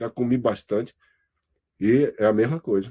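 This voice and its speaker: A man speaks in a dark, mellow tone. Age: 60s. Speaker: university lecturer. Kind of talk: lecture feedback to student. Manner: conversational, halting.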